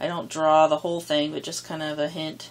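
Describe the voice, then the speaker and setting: A woman's very deep, low voice comes through noticeable background noise. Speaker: art tutorial creator. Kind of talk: tutorial. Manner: hesitant with many fillers; fast.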